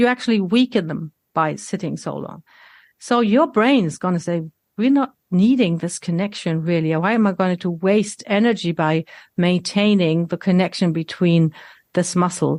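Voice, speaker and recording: In a very clean recording with a silent background and a dry, close sound with no echo, a woman with a plain, everyday voice talks at a moderate pace, medium pitch and ordinary pitch variation. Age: 60s. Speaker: health coach. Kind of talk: casual chat.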